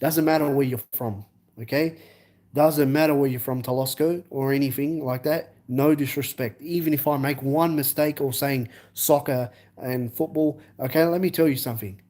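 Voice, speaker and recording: In an Australian accent, a man with a fairly high pitch and a dark, mellow tone speaks at a moderate pace and with fairly even intonation in a very clean recording with a silent background. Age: 20s. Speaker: live streamer. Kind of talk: live stream chat. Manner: halting.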